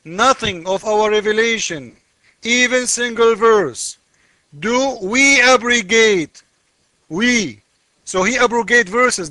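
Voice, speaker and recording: The voice is raised and projected, moving at a fairly slow pace. Its pitch variation is ordinary. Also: man. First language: not English. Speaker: religious commentator. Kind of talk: casual video commentary. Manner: animated.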